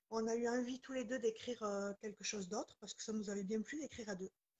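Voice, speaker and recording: A woman's fairly high voice at a fairly quick pace. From southwestern France, near Toulouse, Pyrenees. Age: 40s. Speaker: author. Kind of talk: interview.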